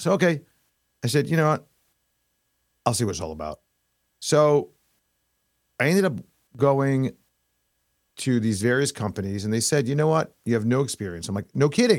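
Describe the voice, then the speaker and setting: A man with a New York accent talks at a fairly quick pace and a medium pitch, with very wide pitch swings. His long, frequent pauses come through on a very clean recording with a silent background. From New York (Queens, Long Island). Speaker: investment advisor. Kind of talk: casual interview chat.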